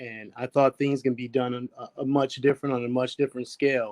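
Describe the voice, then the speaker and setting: A man talks at a medium pitch and a fairly quick pace. The sound is dry and close, with no echo. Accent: American. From east side of Buffalo, New York. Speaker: police chief. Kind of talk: panel interview.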